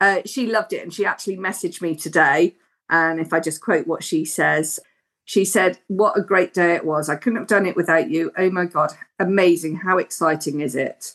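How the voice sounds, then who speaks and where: A woman with a plain, everyday voice, a fairly low pitch, ordinary pitch variation and a moderate pace. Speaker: driving instructor. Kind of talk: casual interview.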